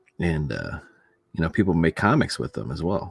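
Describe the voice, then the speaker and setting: With music in the background, a man with a very deep, low pitch speaks with ordinary pitch variation. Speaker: comic artist streamer. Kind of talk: casual live-stream chat while drawing. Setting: home live stream, family sleeping.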